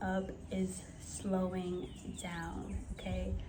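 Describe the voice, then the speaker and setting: An American accent with audible room echo. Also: woman. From New York City (Bronx, Harlem). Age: young. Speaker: lifestyle coach. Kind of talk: personal advice vlog. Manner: slow, soft.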